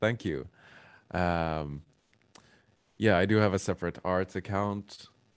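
With a Swedish accent, a man speaks at a very deep, low pitch and a fairly slow pace, using ordinary pitch variation and long, frequent pauses. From Sweden. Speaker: drummer and graphic designer. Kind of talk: casual interview. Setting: video call.

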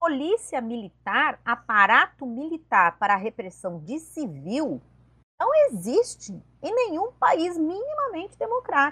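A woman projects her high-pitched voice with a bright, sharp tone. She speaks at a fairly slow pace with very wide pitch swings. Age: 50s. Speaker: presidential candidate and economics professor. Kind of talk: political interview.

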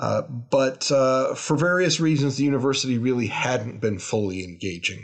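At a moderate pace, a man speaks in an unremarkable speaking voice. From Canada, Toronto. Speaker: university president. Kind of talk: interview.

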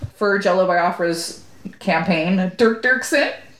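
A woman with an American accent speaks very slowly with ordinary pitch variation, amid audible room echo and noticeable background noise. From Southern California (Corona). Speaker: podcast co-host. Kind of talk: casual chat.

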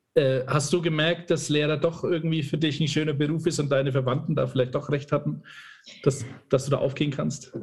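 A man talks at a fairly quick pace, his voice somewhat breathy. His intonation stays monotone and flat. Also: fairly high pitch for a man. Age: 30s. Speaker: podcast host. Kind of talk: interview.

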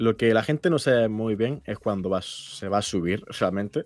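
On a very clean recording with a silent background, a man speaks in an unremarkable speaking voice, fairly low in pitch with ordinary pitch variation. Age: 20s. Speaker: YouTuber. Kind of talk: casual chat.

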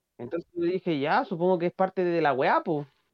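With a Chilean accent, a man talks at a moderate pace in a high pitch. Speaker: podcast co-host. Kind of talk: casual chat.

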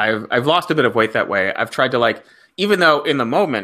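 A very fast male voice with lively intonation and a bright, sharp tone, in a very clean recording with a silent background. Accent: American. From South Florida. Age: 30s. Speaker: comedy writer. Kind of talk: casual interview chat.

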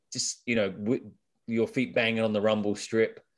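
Moderate pace in a British accent, on a very clean recording with a silent background. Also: man. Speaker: ultrarunner and podcast co-host. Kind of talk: casual humorous chat. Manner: witty, humorous.

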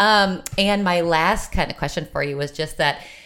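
A woman in a normal speaking voice, fairly low in pitch, with lively intonation at a moderate pace. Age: late 30s. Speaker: podcast host. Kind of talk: casual chat.

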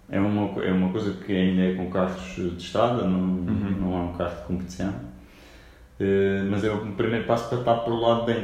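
Fairly even intonation marks this man's fairly low-pitched voice, heard with audible room echo and noticeable background noise. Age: 30s. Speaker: real estate broker. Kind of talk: interview. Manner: hesitant with fillers.

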